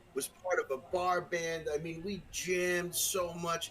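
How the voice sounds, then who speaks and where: With noticeable background noise behind him, a man speaks at a fairly slow pace with a high pitch and a Brooklyn accent. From Brooklyn, New York. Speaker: musician and podcast guest. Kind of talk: casual chat. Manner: halting, many fillers and restarts.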